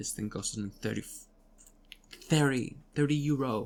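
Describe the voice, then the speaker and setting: Very deep, low pitch from a woman, with ordinary pitch variation. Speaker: voice actress. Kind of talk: casual talk to camera. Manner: unscripted, rambling.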